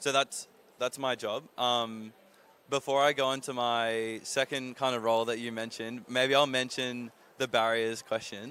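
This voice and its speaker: A man with an Australian accent speaks at a moderate pace and medium pitch, in a bright, sharp tone. His intonation is monotone and flat, on a very clean recording with a silent background. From Australia, Sydney. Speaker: renewable energy consultant, panelist. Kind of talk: panel talk.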